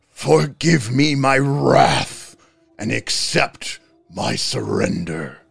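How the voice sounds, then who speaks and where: Faint music plays behind a man who puts on a character voice at a medium pitch and a very slow pace. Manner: submissive, formal.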